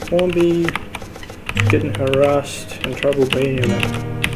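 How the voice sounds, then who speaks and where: Music plays in the background. The speaker has a non-native accent and talks at a moderate pace. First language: not English. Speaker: gaming tutorial creator. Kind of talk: gameplay tutorial. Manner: casual, halting with fillers.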